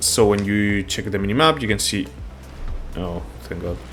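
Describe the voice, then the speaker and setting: Over music in the background, a man speaks with a non-native accent. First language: not English. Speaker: gaming YouTuber. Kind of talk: gameplay tutorial commentary. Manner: casual, halting with fillers.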